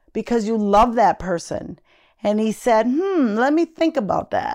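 In a very clean recording with a silent background, a woman with an American accent uses a normal speaking voice, fairly high in pitch, at a fairly slow pace. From Minnesota, Minneapolis area. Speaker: host's mother. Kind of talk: interview.

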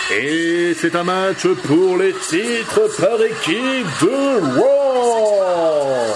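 Against noticeable background noise, a man with a high pitch speaks in a theatrical tone at a very slow pace, with hardly any pauses, very even loudness and very wide pitch swings. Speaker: wrestling commentator and ring announcer. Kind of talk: live wrestling commentary, play-by-play of a match in French, with ring announcements. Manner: ring-announcer style, formal and theatrical delivery in the opening.

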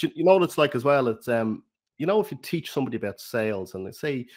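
Very clean recording with a silent background. A man with an Irish accent talks at a very fast pace with ordinary pitch variation. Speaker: podcast host. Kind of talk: interview, casual conversation.

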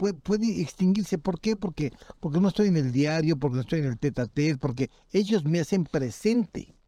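Fairly high in pitch for a man, his voice carries a dark, mellow tone and lively intonation. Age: 60s. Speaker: criminal defense lawyer. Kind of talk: casual interview.

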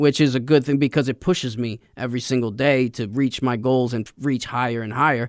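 This man has an unremarkable speaking voice at a medium pitch, talking at a fairly quick pace with hardly any pauses. The recording is very clean, with a silent background. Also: fairly even intonation. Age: 30s. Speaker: podcast host sharing recovery story. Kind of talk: interview testimony.

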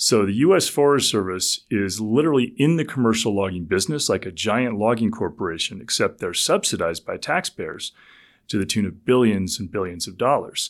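A man talks at a fairly quick pace in a plain, everyday voice with lively intonation. The recording is very clean, with a silent background. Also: medium pitch for a man. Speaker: ecologist and author. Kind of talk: casual interview.

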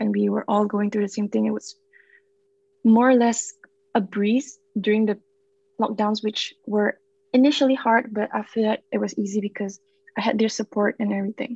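The voice is somewhat breathy and keeps a moderate pace, with long, frequent pauses. The sound is dry and close, with no echo. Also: woman, fairly high pitch for a woman, fairly even intonation. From Singapore. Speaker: university student. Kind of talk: casual chat.

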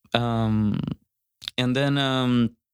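With a Spanish accent, a man speaks very slowly at a medium pitch in a monotone, flat intonation, recorded with a dry, close sound with no echo. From Costa Rica. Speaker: musician. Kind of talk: casual chat. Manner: halting.

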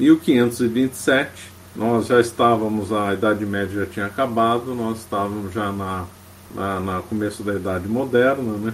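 The speaker is a man going at a fairly slow pace. Noticeable background noise sits behind him. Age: 50s. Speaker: history lecturer, lawyer by training. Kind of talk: lecture. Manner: frequent fillers and hesitations.

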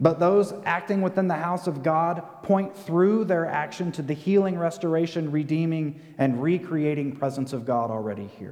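Here is a man with an unremarkable speaking voice and a fairly high pitch. He keeps a moderate pace with ordinary pitch variation and hardly any pauses. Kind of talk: sermon. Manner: earnest, rallying call-and-response cadence.

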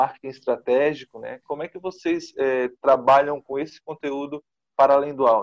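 Speaking at a moderate pace with a Brazilian accent, a man has a fairly high voice, and the sound is dry and close with no echo. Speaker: journalist, interviewer. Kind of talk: interview. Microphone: recorded on a mobile phone.

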